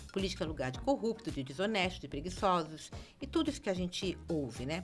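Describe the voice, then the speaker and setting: A very fast woman's voice, fairly low in pitch, with vocal fry and very wide pitch swings. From Brazil, Rio de Janeiro. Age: 60s. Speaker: city councillor. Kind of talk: podcast interview.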